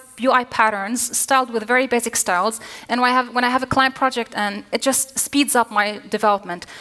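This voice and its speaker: Over noticeable background noise, a woman with a fairly high pitch talks at a very fast pace with fairly even intonation. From Lebanon. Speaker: front-end developer, conference speaker. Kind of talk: conference talk. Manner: halting with fillers.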